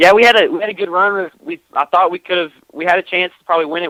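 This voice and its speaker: This man speaks very fast with a Texas accent, using a high pitch, a bright, sharp tone and fairly even intonation, in a dry, close sound with no echo. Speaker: sprint car racing driver. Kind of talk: radio interview. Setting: phone call.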